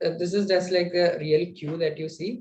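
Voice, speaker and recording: A man talks in a dark, mellow tone with fairly even intonation. Light background noise can be heard. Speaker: student lecturer on data structures; instructor. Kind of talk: online lecture. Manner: hesitant, many fillers. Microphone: webcam.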